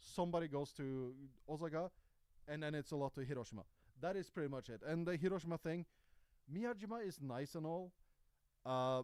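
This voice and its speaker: Talking at a fairly quick pace, a man with a high voice shows ordinary pitch variation. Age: 30s. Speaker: YouTuber and live streamer. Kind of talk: casual livestream chat. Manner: casual, halting with fillers.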